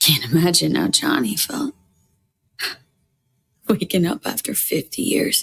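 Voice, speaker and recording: Using a put-on character voice, raspy and at a middle pitch, the speaker goes at a fairly slow pace with long, frequent pauses. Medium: video game. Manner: terse, guarded.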